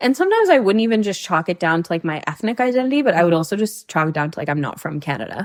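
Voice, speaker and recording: With hardly any pauses, a woman rushes along at a very fast pace, her medium pitch making very wide swings. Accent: North American. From Hong Kong. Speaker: podcast guest. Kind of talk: casual chat.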